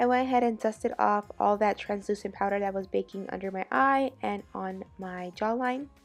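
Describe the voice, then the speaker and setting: There is music in the background as a woman talks at a moderate pace with hardly any pauses. Her pitch is medium, with ordinary pitch variation. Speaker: beauty vlogger. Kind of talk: makeup tutorial voiceover.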